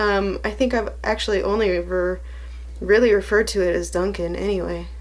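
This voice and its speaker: A woman with an American accent speaks at a moderate pace, and the room echo is audible. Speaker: vlogger. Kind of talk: casual chat. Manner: quieter than usual; usually energetic and loud.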